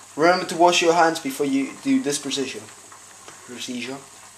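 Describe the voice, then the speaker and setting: Moderate pace over noticeable background noise. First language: Spanish. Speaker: amateur cooking vlogger. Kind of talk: tutorial.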